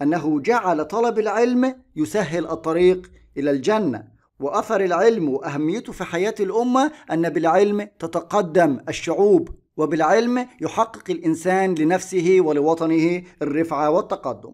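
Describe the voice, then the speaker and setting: On a very clean recording with a silent background, a man with a high pitch and lively intonation speaks at a fairly slow pace. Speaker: Arabic teacher. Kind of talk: exam review lesson.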